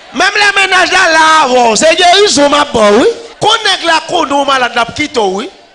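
A man uses a raised, projected voice at an extremely high pitch, swinging his pitch very widely at a fairly slow pace. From Haiti. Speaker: pastor. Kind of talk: sermon. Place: church.

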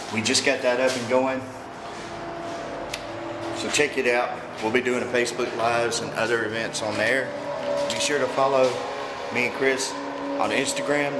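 A man keeps a moderate pace but breaks it with long, frequent pauses, all under loud background noise. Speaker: urban explorer vlogger. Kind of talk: casual vlog chat. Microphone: phone near.

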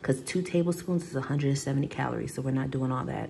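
A woman's voice sits at a very deep, low pitch with vocal fry. Light background noise is present. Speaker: vlogger. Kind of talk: casual vlog chat. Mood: relaxed, after a shower. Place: kitchen.

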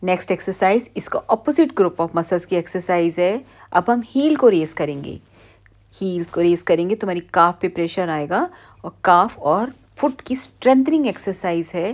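With lively intonation and a fairly low pitch, a woman talks at a fairly slow pace in a normal speaking voice. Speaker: physiotherapist instructor. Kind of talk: tutorial.

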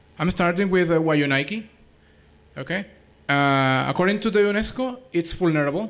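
With a Spanish accent, a man speaks at a high pitch and a moderate pace, using ordinary pitch variation and long, frequent pauses. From Venezuela. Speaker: conference speaker, wiki editor. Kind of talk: conference presentation. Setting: stage with audience. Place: hall. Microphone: podium.

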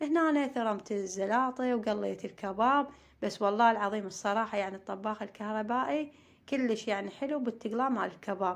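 A woman with a fairly high pitch speaks in a southern Iraqi accent. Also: ordinary pitch variation, moderate pace. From Iraq, Maysan (Amarah). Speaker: family vlogger, homemaker. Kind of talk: casual vlog narration.

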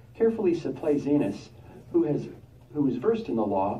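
A man's fairly high pitch at a medium speed, in an unremarkable speaking voice. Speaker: congregation member. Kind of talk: Bible reading aloud.

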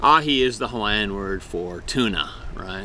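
A man speaks at a fairly slow pace. The recording is dry with no echo and has light background noise. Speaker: food vlogger. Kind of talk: casual vlog chat. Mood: cheerful, amused. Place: garden. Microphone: phone near.

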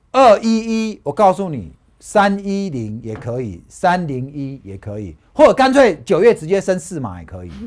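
A man's animated, high-pitched voice with very wide pitch swings, big swings in loudness, and hardly any pauses. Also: fairly slow pace. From Taiwan. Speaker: stock market analyst; stock market analyst host. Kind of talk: casual chat. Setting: studio. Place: studio. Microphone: lapel.

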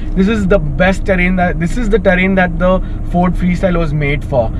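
A man's fairly quick speech with ordinary pitch variation, dry with no echo, over noticeable background noise. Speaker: car reviewer. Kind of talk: car review commentary while driving. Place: car.

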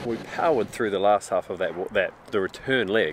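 Dry sound with no echo, light background noise, moderate pace and ordinary pitch variation. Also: man. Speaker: travel vlogger. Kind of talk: casual vlog chat. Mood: relaxed, cheerful. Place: open country. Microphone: phone near.

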